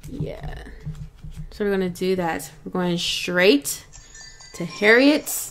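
Music plays in the background as a woman speaks very slowly. She leaves long, frequent pauses. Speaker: gaming YouTuber. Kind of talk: let's play commentary. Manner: low energy.

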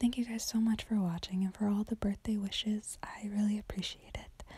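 A woman whispers, soft-spoken and somewhat breathy, in a dry sound with no echo. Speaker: vlogger. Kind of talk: casual vlog chat. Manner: soft ASMR whisper to camera. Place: home room. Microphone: phone near.

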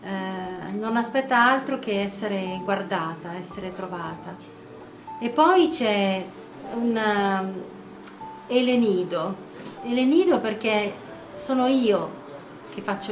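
Faint music sits in the background as a woman speaks at a very slow pace, with long, frequent pauses, big swings in loudness and ordinary pitch variation. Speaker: poet or writer. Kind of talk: interview answer. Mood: reflective, calm. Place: garden. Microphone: phone near.

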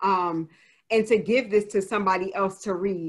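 Fairly slow speech in an American accent, with ordinary pitch variation and a quiet background. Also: woman. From New Jersey. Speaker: author. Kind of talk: Q&A session. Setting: video call. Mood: reflective, personal. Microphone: video call.

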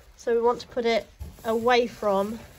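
A woman's voice over noticeable background noise. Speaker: shop staff demonstrating packing. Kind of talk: tutorial. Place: home room. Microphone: phone near.

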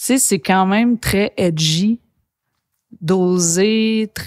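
A woman talks at a very slow pace with ordinary pitch variation. The background is quiet. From Quebec, Saguenay; Quebec. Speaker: podcast host and bassist musician; podcast host. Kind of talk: casual interview. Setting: studio. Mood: warm, enthusiastic. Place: studio.

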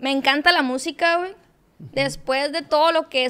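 Ordinary pitch variation in a woman's voice. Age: 20s. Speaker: social media content creator. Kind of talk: casual interview chat. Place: studio. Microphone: studio mic.

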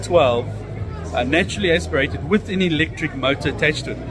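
A man speaks with clear music in the background. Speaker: vlogger. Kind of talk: casual vlog chat. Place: hall. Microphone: phone near.

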